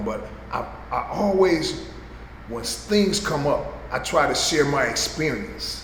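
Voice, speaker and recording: Noticeable background noise runs under this recording. A man speaks at a very slow pace. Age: 60s. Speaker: person in addiction recovery. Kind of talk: interview answer.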